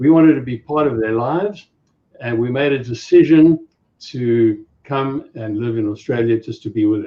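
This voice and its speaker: In a South African accent, a man speaks at medium pitch. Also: ordinary pitch variation, moderate pace. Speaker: safari business owner. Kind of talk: casual chat.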